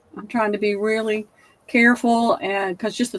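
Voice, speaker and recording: This woman has a Southern US accent. She talks at a moderate pace. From US South. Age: 70s. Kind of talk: casual chat.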